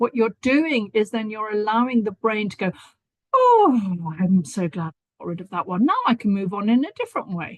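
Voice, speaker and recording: A woman's fairly high, somewhat breathy voice at a moderate pace, dry and close with no echo. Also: ordinary pitch variation. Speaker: stress and anxiety therapist. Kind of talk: interview on live stream.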